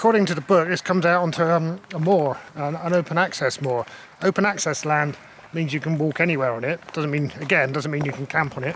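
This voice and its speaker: A man speaks at a fairly quick pace with a fairly high pitch. Noticeable background noise runs behind him. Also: ordinary pitch variation. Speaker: solo hiking vlogger. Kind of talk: casual vlog narration. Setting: outdoors. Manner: quiet, hushed.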